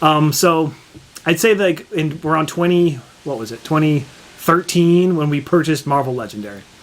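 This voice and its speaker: Pitched fairly high, a man speaks at a moderate pace with ordinary pitch variation. Noticeable background noise can be heard. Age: 40s. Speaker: board game youtuber. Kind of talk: casual chat.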